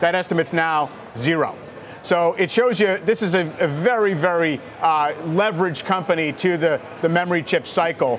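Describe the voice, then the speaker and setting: A man's high voice at a moderate pace, very even in loudness with ordinary pitch variation, over noticeable background noise. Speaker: TV financial news host. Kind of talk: live TV interview. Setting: studio on stock exchange floor.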